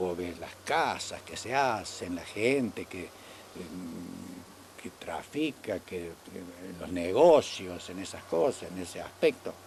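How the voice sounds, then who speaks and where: Lively intonation and big swings in loudness mark this man's delivery. His pitch is very deep and low, and his pace is very slow. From Argentina, Córdoba province (small town). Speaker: elderly local resident recalling town history. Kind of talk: oral history interview. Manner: halting, with many repetitions.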